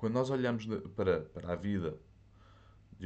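Fairly slow speech with a European Portuguese accent, plus audible echo from the room. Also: man. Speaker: podcast host. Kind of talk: solo livestream monologue. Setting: alone in a room, speaking to a camera. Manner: halting.

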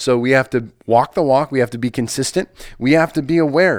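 An unremarkable speaking voice from a man with an American accent, medium pitch and ordinary pitch variation, at a fairly quick pace, in a very clean, silent recording with a dry, close sound and no echo. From US Midwest, Nebraska. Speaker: pastor and podcast host. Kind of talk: solo podcast talk, motivational.

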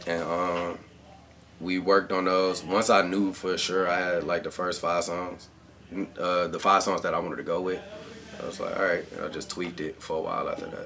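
A man with an American accent at a fairly quick pace, over noticeable background noise. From Cleveland, Ohio. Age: 20s. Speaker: rapper. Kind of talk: casual chat. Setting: home studio.

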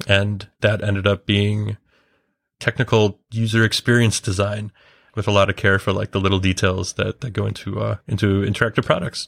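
With a Midwestern accent, a man speaks at a moderate pace in a fairly low pitch and a monotone, flat delivery, recorded with a dry, close sound and no echo. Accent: American Midwest. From US Midwest, Chicago. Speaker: designer and developer of a drawing app. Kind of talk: casual podcast interview.

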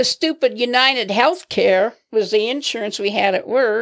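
On a very clean recording with a silent background, a woman with a fairly high voice and an American accent speaks very slowly with ordinary pitch variation. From Nebraska. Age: 70s. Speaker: grandmother interviewed by grandson. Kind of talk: casual chat. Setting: studio.

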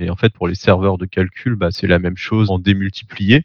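A man's very deep, low voice with monotone, flat intonation at a moderate pace. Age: 30s. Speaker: tech company co-founder. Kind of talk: interview.

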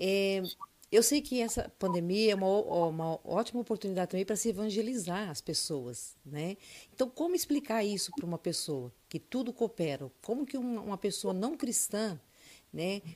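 Very wide pitch swings mark a dark, mellow tone on a very clean recording with a silent background. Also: woman, medium pitch for a woman, moderate pace. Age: 60s. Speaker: church member and co-host. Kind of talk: casual chat.

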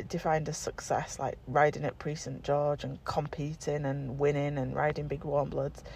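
A woman speaks with a very deep, low pitch and vocal fry. She talks at a fairly slow pace with an English accent. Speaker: equestrian coach. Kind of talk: solo podcast monologue.

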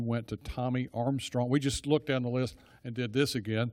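A man at a medium pitch in a monotone, flat intonation, in a very clean recording with a silent background. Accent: Texan. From Texas (Dallas). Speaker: church small-group leader. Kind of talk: church talk to a group. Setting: church gathering with audience. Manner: rambling, digressive.

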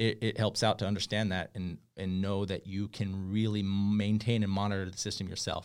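With a normal speaking voice, a man talks at a moderate pace and a fairly low pitch with fairly even intonation, on a very clean recording with a silent background. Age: 40s. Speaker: solar sales advisor. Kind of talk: tutorial. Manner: casual, with many fillers and restarts.

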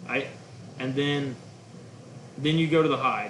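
Over noticeable background noise and audible room echo, a man with an American accent speaks at a moderate pace, his fairly high pitch held in fairly even intonation. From Oklahoma, Guthrie. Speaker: duck hunting outfitter and caller. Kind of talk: casual chat.

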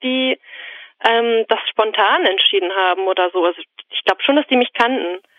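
The woman's voice is fairly high, with ordinary pitch variation. Her pace is moderate. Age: 20s. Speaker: student and podcast caller. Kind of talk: casual interview conversation. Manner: hesitant, many fillers.

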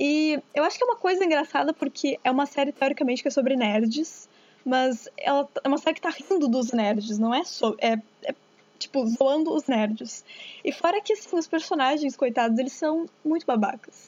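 Her high pitch moves with lively intonation as the woman keeps her loudness very even. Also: moderate pace. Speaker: radio co-host, journalism student. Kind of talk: casual chat.

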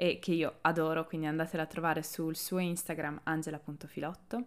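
Speaking at a fairly quick pace and a fairly low pitch, a woman comes through on a very clean recording with a silent background. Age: 20s. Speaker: podcast host. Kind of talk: scripted monologue. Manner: animated.

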